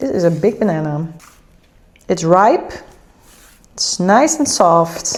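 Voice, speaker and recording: A woman with a Dutch accent speaks at medium pitch and a fairly slow pace. Her pitch varies in an ordinary way over noticeable background noise. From Netherlands. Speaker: lifestyle vlogger. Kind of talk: casual vlog chat.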